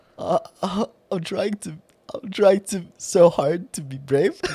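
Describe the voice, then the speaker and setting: A man uses a put-on character voice, high-pitched and shaky. He speaks at a fairly slow pace. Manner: nervous.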